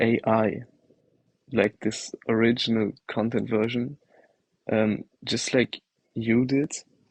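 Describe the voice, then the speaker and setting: With a slight German accent, a man of medium pitch speaks very slowly in a monotone with flat intonation, the sound dry and close with no echo. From Germany. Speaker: livestream participant. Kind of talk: casual chat. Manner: hesitant.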